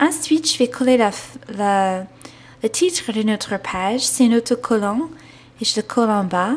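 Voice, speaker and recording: A woman with an American accent talks at a fairly slow pace with lively intonation. Her voice is fairly high in pitch and somewhat breathy. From United States. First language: English (speaking French). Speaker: scrapbooking instructor. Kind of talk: craft tutorial. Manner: hesitant, many fillers (euh) and restarts.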